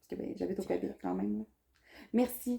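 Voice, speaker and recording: A woman with a Saguenay accent speaks at a fairly quick pace. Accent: Saguenay Quebec French. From Quebec, Saguenay. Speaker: vlogger. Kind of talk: casual chat.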